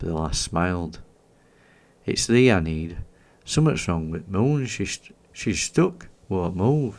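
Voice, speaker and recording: A man with a Yorkshire accent speaks slowly in a very deep, low pitch, with very wide pitch swings and long, frequent pauses. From Yorkshire, England. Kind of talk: sleep story. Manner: slow, soothing.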